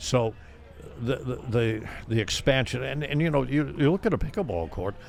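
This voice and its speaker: Showing vocal fry, a man at medium pitch talks at a moderate pace with lively intonation. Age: 80s+. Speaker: retired professor and pickleball coach. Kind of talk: interview answer.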